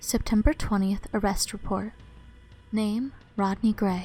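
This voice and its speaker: Music plays in the background. The speaker is soft-spoken and talks at a fairly slow pace. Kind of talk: ASMR soft-spoken reading of game notes.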